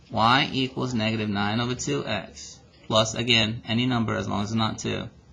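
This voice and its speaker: A man at a medium pitch speaks with fairly even intonation over noticeable background noise. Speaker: math teacher. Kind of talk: tutorial. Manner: fast.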